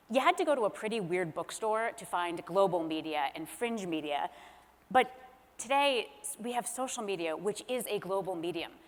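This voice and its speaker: A woman speaks at a moderate pace in a normal speaking voice with medium pitch. Her intonation is lively, and her loudness swings widely. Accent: American. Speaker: author and former speechwriter. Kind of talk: panel discussion. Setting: stage with audience.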